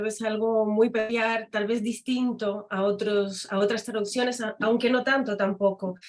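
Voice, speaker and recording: In a French accent, a woman speaks fairly slowly at a fairly high pitch with fairly even intonation. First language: French (speaking Spanish). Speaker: academic and literary translator. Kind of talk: conference talk.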